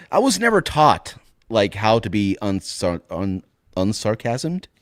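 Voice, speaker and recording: With lively intonation and a fairly slow pace, a man talks in a fairly low pitch, the sound dry and close with no echo. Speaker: podcast co-host. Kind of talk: casual chat. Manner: unintentionally sarcastic-sounding inflection.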